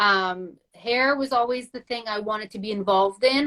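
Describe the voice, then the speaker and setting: In a French accent, a woman speaks with a bright, sharp tone at a fairly high pitch. Her pace is moderate and her intonation fairly even. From Quebec. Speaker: entrepreneur. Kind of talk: casual chat. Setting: video call.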